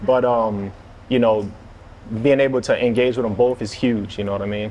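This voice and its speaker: Speaking with a slight New Orleans accent, a man keeps a moderate pace, a medium pitch and fairly even intonation. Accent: little New Orleans. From New Orleans East, Louisiana. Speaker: streetwear figure and chef. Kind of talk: interview. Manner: halting, many fillers.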